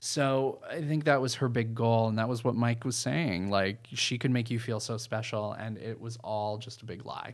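An unremarkable speaking voice: a man with an American accent, medium pitch, ordinary pitch variation, moderate pace, hardly any pauses, on a very clean recording with a silent background. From New England, US. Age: 30s. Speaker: storyteller guest. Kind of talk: casual storytelling chat.

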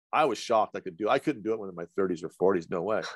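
A man with an American accent in a dry, close sound with no echo, against a quiet background. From central Idaho. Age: 60s. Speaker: colon hydrotherapist. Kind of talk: casual chat.

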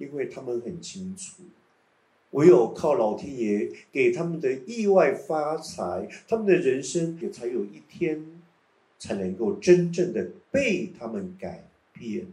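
Speaking very slowly with a Taiwanese accent, a man at a fairly high pitch uses very wide pitch swings and big swings in loudness, his dark, mellow tone edged with vocal fry amid audible room echo. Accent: Taiwanese Mandarin. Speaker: meditation teacher. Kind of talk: guided meditation.

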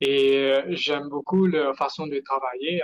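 A man speaks very slowly in a fairly high pitch with fairly even intonation. The sound is dry and close, with no echo. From Mauritius. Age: 20s. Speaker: entrepreneur. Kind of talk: interview. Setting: video call. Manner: halting.

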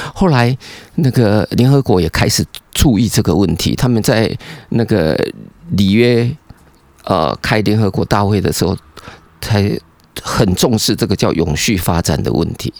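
A man with a fairly low voice speaks at a fairly slow pace with long, frequent pauses and very even loudness, recorded dry and close with no echo. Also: lively intonation. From Taiwan. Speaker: environmental engineering professor. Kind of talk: casual interview chat. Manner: animated.

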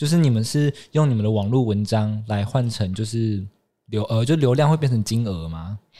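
This voice has a dark, mellow tone, moving at a moderate pace with ordinary pitch variation. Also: man, medium pitch for a man. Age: 20s. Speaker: fashion magazine intern, student. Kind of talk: casual interview.

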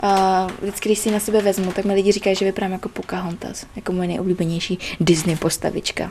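At a very fast pace with hardly any pauses, a woman talks in a medium pitch and monotone, flat intonation over noticeable background noise. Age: young. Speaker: chef and American football player. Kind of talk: casual chat. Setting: at her home.

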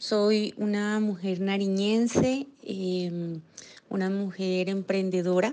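Very slow and with fairly even intonation, a woman speaks at a medium pitch. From Nariño, Colombia (Pasto). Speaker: business association director. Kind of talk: panel conversation.

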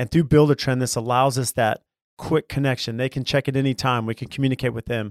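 An unremarkable speaking voice carries fairly even intonation. The sound is dry and close, with no echo. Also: man, very clean recording, silent background. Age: 40s. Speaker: construction podcast host and builder. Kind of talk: casual interview chat. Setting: live recording at trade show booth.

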